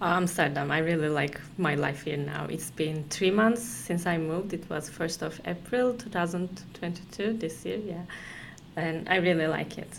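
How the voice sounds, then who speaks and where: With a Turkish accent, a woman speaks at a moderate pace in a fairly low pitch with ordinary pitch variation, and the room echo is audible. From Turkey, Konya. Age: 20s. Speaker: company employee. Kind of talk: casual interview. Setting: office.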